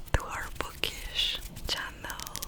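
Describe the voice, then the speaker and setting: A woman's very slow whisper against noticeable background noise. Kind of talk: ASMR book haul. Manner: whispered.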